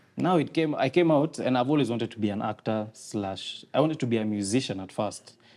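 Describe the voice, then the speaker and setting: A man with an ordinary speaking voice talks fairly quickly at medium pitch, with lively intonation and hardly any pauses. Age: young (19). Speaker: content creator and comedian. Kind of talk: casual podcast chat.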